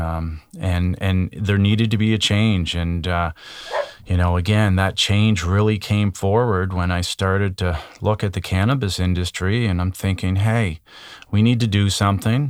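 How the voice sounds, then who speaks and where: Fairly even intonation in a Canadian Maritime accent, moderate pace, very clean recording with a silent background. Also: man. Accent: Canadian Maritimes. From Nova Scotia, Canada. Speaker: cannabis industry consultant. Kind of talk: interview.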